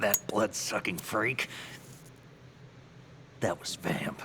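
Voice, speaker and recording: In a raspy, put-on character voice, a man speaks with a fairly low pitch at a very slow pace. Clear background noise is present. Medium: video game. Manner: earnest, questioning.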